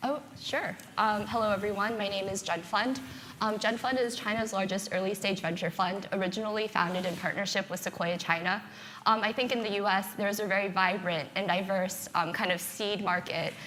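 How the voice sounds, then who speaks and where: There is noticeable background noise behind this woman. She speaks at a medium pitch with an American accent and fairly even intonation. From US Midwest, Ohio near Akron. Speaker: venture capitalist. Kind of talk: panel discussion.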